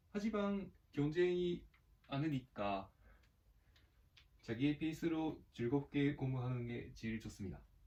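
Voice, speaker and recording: With a Japanese accent, a man speaks at a fairly high pitch in a dark, mellow tone, using lively intonation and long, frequent pauses. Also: fairly slow pace. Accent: Japanese accent in Korean. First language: Japanese (speaking Korean). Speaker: gaming youtuber. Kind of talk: casual gameplay commentary. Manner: halting.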